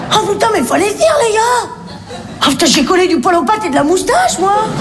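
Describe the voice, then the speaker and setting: A woman speaks in a put-on character voice at a fairly quick pace. Loud background noise runs underneath. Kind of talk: vulgar, colloquial.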